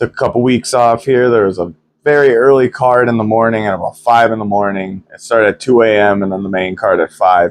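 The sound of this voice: At a fairly quick pace, a man with a nasal, fairly low voice keeps his intonation fairly even.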